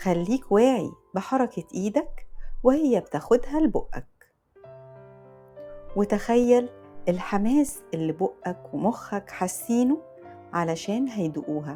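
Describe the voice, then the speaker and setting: With music in the background, a woman with an Egyptian accent speaks very slowly in a calm tone at a fairly high pitch, using very wide pitch swings and long, frequent pauses. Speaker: voice performer. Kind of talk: guided mindfulness exercise. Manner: slow, calm.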